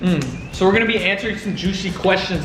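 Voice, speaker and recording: A man's raised, projected voice at a high pitch, with audible room echo and noticeable background noise. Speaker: YouTuber. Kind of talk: casual chat. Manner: loud.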